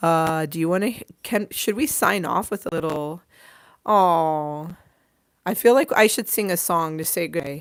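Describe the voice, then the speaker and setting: A woman speaks in an American accent at a fairly low pitch with ordinary pitch variation. Her fairly slow delivery has long, frequent pauses on a very clean recording with a silent background. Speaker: livestream host. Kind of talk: casual livestream chat. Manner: loud; animated.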